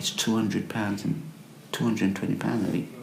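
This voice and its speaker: A man with an English accent, amid noticeable background noise and audible room echo. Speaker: homeless man. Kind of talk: testimony. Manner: halting.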